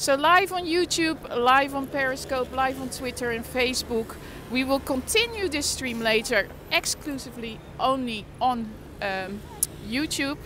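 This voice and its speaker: A woman's raised, projected voice with lively intonation at a fairly slow pace, dry with no echo, over noticeable background noise. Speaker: livestreaming vlogger. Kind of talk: casual livestream chat. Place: street. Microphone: phone near.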